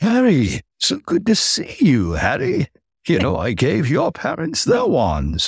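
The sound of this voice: Put-on character voice, fairly slow in pace. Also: man, medium pitch for a man.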